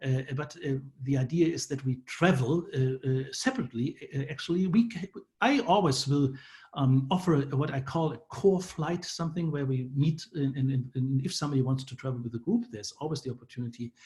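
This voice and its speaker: With a German accent, a man speaks at a fairly quick pace in a fairly high pitch with ordinary pitch variation. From Germany. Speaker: professor. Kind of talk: presentation. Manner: halting, many fillers.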